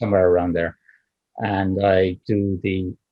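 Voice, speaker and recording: With an Irish accent, a man speaks in a very deep, low, somewhat breathy voice. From Ireland. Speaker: options trader. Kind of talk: interview answer.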